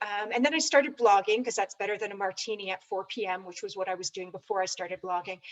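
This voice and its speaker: This is a woman with a Canadian accent in an ordinary speaking voice. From Canada. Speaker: ed tech consultant. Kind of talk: panel discussion.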